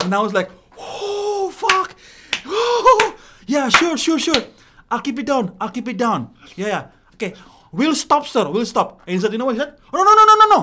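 A man's extremely high voice, raised and projected, with very wide pitch swings at a moderate pace over noticeable background noise. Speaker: stand-up comedian. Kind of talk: casual chat.

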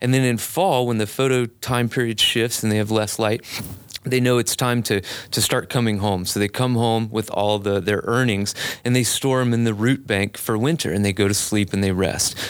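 A man with a normal speaking voice talks at a moderate pace and a fairly low pitch, keeping his loudness very even. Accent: American. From US South, Biloxi, Mississippi. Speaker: arborist, tree care business owner. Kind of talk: casual interview. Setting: studio.

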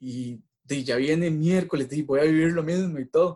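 The pace is moderate. The tone is dark and mellow. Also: man. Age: 30s. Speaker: injured athlete sharing recovery story. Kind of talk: interview testimony.

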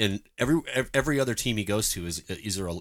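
Fairly low in pitch with ordinary variation, a man uses a normal speaking voice in a very clean recording with a silent background. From Canada. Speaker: soccer podcast host. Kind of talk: casual chat.

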